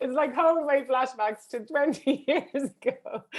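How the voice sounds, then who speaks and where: A woman speaks in an animated tone. Her pitch is high. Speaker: education consultant. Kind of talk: online workshop presentation.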